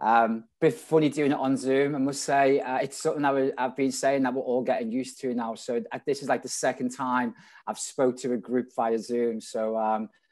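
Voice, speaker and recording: A man at a moderate pace, medium in pitch, with fairly even intonation. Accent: strong Scouse. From Liverpool, England. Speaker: restaurant general manager. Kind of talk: conference talk. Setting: video call. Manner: casual.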